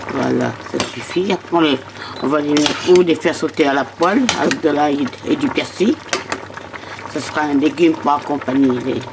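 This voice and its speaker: A woman talks at a moderate pace with a very deep, low pitch. She pauses often and at length, and background noise is noticeable. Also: ordinary pitch variation. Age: 80s+. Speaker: home cook. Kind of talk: interview answer.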